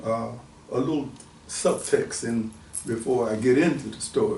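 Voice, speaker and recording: A man's moderate pace and ordinary pitch variation come through over noticeable background noise. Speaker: author. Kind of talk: casual conversation.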